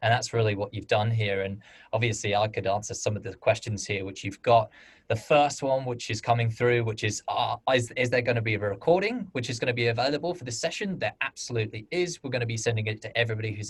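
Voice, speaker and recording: A man with a British accent, very fast and somewhat breathy, at a medium pitch with ordinary pitch variation. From United Kingdom. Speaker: webinar host for crowdfunding platform. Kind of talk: webinar Q&A moderation.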